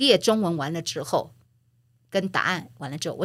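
On a very clean recording with a silent background, a woman with a bright, sharp tone talks at a moderate pace with lively intonation. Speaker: former media executive and author. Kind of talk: interview.

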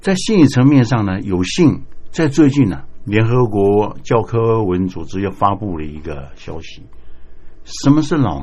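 A man speaks at a fairly low pitch in a dark, mellow tone. His pitch swings very widely, and his loudness shifts in big swings. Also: fairly slow pace. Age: 70s. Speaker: retired cyclist, adult student. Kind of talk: interview.

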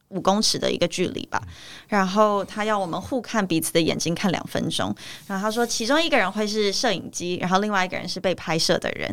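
Set against a silent background in a very clean recording, a woman speaks at a fairly quick pace. Vocal fry runs through her voice. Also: medium pitch for a woman, ordinary pitch variation. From Taiwan. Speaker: actress. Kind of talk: interview. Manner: halting.

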